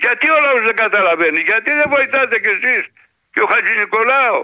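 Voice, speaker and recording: The speaker is a man. His intonation is lively. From Greece, Larissa. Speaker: radio caller, pensioner. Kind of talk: phone-in chat.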